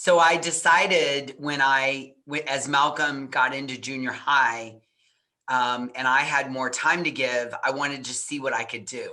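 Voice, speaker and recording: A loud woman's voice, very deep and low for a woman, bright and sharp in tone, with fairly even intonation at a fairly slow pace. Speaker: parenting coach. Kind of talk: interview.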